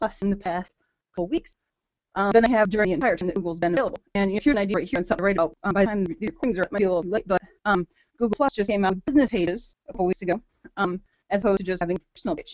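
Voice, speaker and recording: Very fast speech from a woman at medium pitch, with ordinary pitch variation and a dry, close sound with no echo. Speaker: internet marketing trainer. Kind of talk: webinar lecture.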